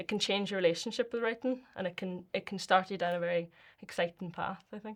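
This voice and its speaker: A woman with a Northern Irish accent talks at a fairly quick pace and a medium pitch. The recording is very clean, with a silent background. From Northern Ireland. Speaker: poet and performer. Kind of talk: interview answer.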